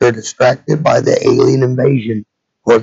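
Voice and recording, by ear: A man's medium-pitched voice with a slightly mellow tone, a slightly husky edge and vocal fry, at a moderate pace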